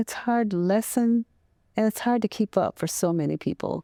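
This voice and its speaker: Soft-spoken and with an American accent, a woman has a dark, mellow tone and lively intonation, recorded very cleanly with a silent background and a dry, close sound with no echo. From US Midwest, Waterloo, Iowa. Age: 80s+. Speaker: veteran and counselor. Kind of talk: interview. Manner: halting.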